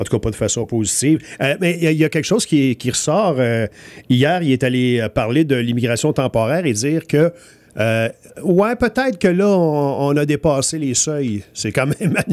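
With lively intonation and a fairly high pitch, a man talks at a moderate pace in a plain, everyday voice. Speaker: morning radio host. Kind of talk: casual radio chat. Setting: radio studio.

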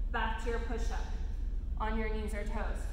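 A woman's voice carries audible room echo. Light background noise sits behind it. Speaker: fitness instructor. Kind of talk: tutorial. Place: gym. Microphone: camera far.

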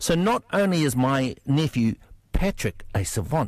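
A man's fairly high-pitched voice with a New Zealand accent and very wide pitch swings. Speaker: political commentator. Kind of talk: radio panel discussion.

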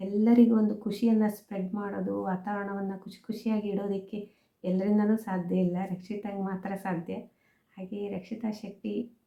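A woman at a medium pitch speaks with a dark, mellow, somewhat breathy tone, monotone and flat in intonation yet with big swings in loudness. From Mangalore region, coastal Karnataka. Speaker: YouTuber. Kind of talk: vlog monologue.

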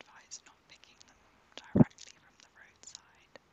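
Someone whispers in a British accent. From UK. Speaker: ASMR creator. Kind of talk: ASMR magazine flick-through. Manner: whispered.

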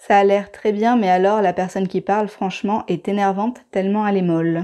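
Over a quiet background, a woman speaks at a moderate pace in a dark, mellow tone with fairly even intonation. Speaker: video creator, cooking and herbal channel. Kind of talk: monologue video essay. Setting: recorded voice-over. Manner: annoyed, confessional. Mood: calm, reflective, somewhat hurt. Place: home room.

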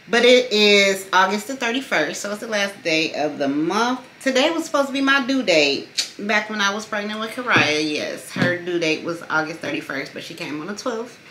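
Music plays in the background as a woman talks at a moderate pace with very wide pitch swings. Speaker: vlogger. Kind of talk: casual vlog chat. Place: home room. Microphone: phone near.

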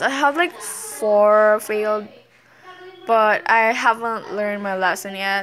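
A woman speaks with a non-native accent and a fairly high pitch. Her pitch varies in an ordinary way over light background noise. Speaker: vlogger. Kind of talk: casual talk to camera. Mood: light, self-mocking. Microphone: phone near.

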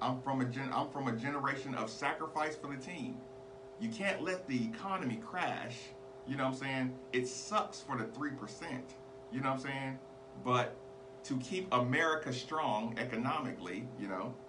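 Ordinary pitch variation amid noticeable background noise. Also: man, moderate pace. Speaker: podcast host. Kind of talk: opinion commentary monologue. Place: studio. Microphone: studio mic.

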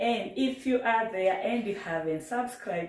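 A woman talks at a moderate pace with ordinary pitch variation and a somewhat breathy sound. The background is quiet, with audible room echo. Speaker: cooking channel host. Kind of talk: casual vlog chat. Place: kitchen.

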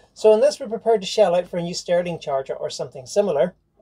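The speaker talks at a very fast pace and sounds somewhat breathy. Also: woman. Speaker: liveaboard sailing vlogger. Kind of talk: casual vlog chat. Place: boat. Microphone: camera far.

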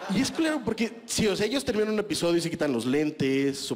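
A man with a Mexican accent, moderate pace and very wide pitch swings. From Mexico. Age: 30s. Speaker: stand-up comedian. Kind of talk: stand-up comedy set, rude and self-deprecating, crowd-laughter punchlines. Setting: stage with audience. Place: stage. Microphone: handheld.

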